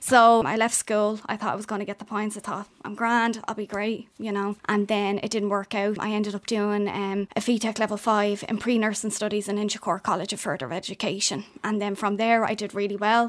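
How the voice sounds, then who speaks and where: A woman with an Irish accent at a medium pitch, fairly quick and hardly pausing, in a monotone, flat intonation. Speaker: care company manager. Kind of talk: radio interview. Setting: studio.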